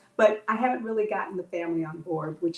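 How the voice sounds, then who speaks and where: A woman's fairly quick speech, with ordinary pitch variation, plays against noticeable background noise. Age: 70s. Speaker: holistic health practitioner. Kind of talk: interview.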